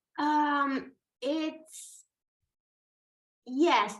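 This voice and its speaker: A woman with a non-native accent. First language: not English. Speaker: brand strategist. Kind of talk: interview conversation. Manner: halting, many fillers.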